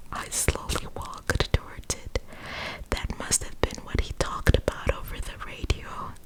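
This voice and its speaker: A woman is whispering at a moderate pace over noticeable background noise. Her loudness swings a lot. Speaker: ASMR creator. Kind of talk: scary story reading, ASMR. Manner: whispered, soft.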